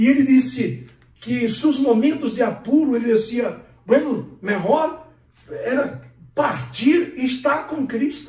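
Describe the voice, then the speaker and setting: At a very slow pace, a man with an extremely high-pitched voice and ordinary pitch variation speaks amid noticeable background noise and audible room echo. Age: 60s. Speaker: pastor. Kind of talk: sermon.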